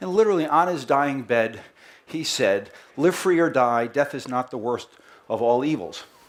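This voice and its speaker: An animated man speaks in a strong Boston accent at a moderate pace. His fairly high-pitched voice carries lively intonation. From Boston, US. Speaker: company marketing head giving presentation. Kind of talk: presentation to live audience. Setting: festival stage with audience.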